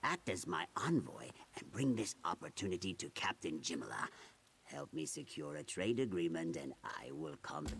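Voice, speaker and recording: In a put-on character voice, a man speaks at a moderate pace with a very deep, low pitch. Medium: video game. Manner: smooth, persuasive.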